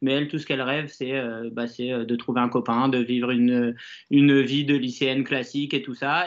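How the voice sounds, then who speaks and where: A fairly quick pace against a quiet background. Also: man. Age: 30s. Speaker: bookseller. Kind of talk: casual live stream chat. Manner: hesitant, many fillers.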